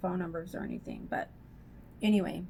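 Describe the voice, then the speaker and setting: This woman's voice is somewhat breathy. She talks at a medium pitch. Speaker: beauty vlogger. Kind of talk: casual chat. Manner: chatty, filler-heavy.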